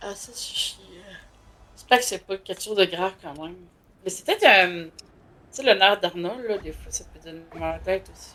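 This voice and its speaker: With a Quebec accent, a woman speaks at a medium pitch and a moderate pace, with ordinary pitch variation, big swings in loudness, long, frequent pauses and noticeable background noise. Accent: Québécois French. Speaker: gaming streamer. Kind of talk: casual chat. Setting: live stream.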